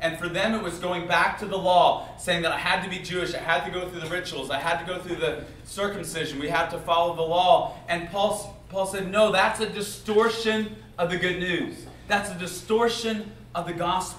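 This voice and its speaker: A man speaks with a high pitch and fairly even intonation. There is audible room echo along with light background noise. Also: moderate pace. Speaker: speaker. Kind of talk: sermon. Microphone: camera far.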